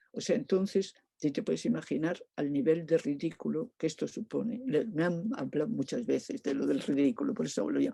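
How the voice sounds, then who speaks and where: A woman talks at a fairly quick pace in a fairly low pitch, with vocal fry and a dark, mellow tone. Her pitch swings very widely, and the sound is dry and close with no echo. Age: 80s+. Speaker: performance artist. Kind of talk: interview. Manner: halting, many fillers.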